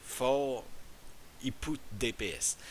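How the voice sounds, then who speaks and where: In a French accent, a man talks with lively intonation. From France. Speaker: gaming YouTuber. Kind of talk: tutorial. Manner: halting.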